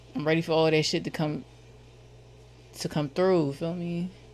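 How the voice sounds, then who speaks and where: A woman speaks with a Philadelphia accent. Her pitch is very deep and low, with ordinary pitch variation. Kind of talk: casual slang. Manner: casual, profane, repetitive.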